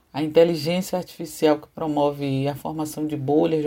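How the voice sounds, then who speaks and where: Captured on a very clean recording with a silent background, a woman speaks at a very deep, low pitch in a dark, mellow tone. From Salvador, Bahia, Brazil. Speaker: professor and cyberactivist. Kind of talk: interview, prepared narrative answers.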